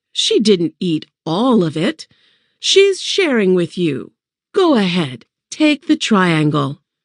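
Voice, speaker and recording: At a very slow pace, a woman of medium pitch performs a put-on character voice with very wide pitch swings against a quiet background. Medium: read story. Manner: firm, no-nonsense.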